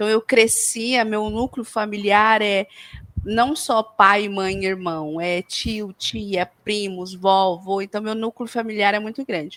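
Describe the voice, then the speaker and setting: Very slow in pace, a woman speaks at a medium pitch with fairly even intonation. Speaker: podcast co-host. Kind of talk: casual chat.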